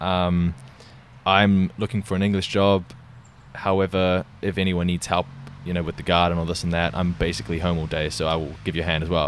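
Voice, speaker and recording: Fairly quick and with a New Zealand accent, a man speaks in a very deep, low pitch. His intonation stays fairly even. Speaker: podcast host. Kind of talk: casual conversation.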